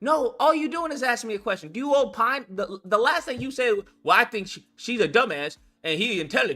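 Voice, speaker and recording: A man speaks at a fairly quick pace in a raised, projected voice of extremely high pitch with very wide pitch swings, music playing in the background. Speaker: political commentary streamer. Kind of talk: heated debate. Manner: loud.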